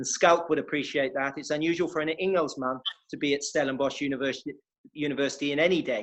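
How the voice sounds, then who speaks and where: Very fast speech with an English accent and fairly even intonation. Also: man, fairly high pitch for a man. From West Country, England. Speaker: sports historian and interviewer. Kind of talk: event hosting introduction.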